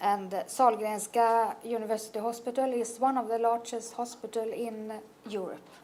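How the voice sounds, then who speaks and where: With a Swedish accent, a woman speaks at a moderate pace in a monotone, flat intonation and a fairly high pitch, with audible room echo. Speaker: oncology nurse. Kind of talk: conference presentation. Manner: halting.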